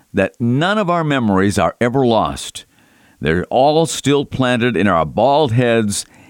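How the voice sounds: A natural reading voice carries the words with lively intonation.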